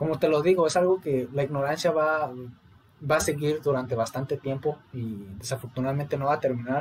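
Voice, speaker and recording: A man speaks in a normal speaking voice, his fairly high pitch varying in an ordinary way. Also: fairly quick pace. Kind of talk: casual chat.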